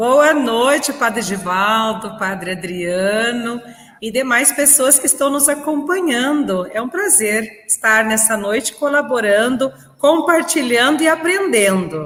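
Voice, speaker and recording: A woman with a gaúcho accent, high-pitched, very wide pitch swings, a fairly slow pace, and noticeable background noise. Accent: gaúcho southern Brazilian. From southern Brazil, Rio Grande do Sul. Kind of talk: podcast interview. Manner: energetic.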